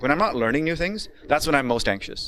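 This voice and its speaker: A man talks at a very fast pace in an animated tone. His pitch is medium and his intonation lively. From Pakistan (Karachi), then Ontario, Canada. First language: Urdu. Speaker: coding bootcamp instructor. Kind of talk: lecture. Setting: classroom.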